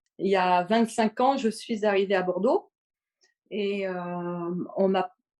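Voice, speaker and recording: Her intonation stays fairly even at a medium pitch. This woman speaks at a very slow pace. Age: 60s. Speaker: podcast listener, retiree. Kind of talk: casual interview. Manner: halting, many hesitations.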